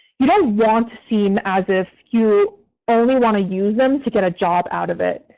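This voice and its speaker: Against a quiet background, a woman with an unremarkable speaking voice talks at a fairly high pitch with ordinary pitch variation. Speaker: community manager at an ad agency. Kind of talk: career advice Q&A talk. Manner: casual, filler-heavy.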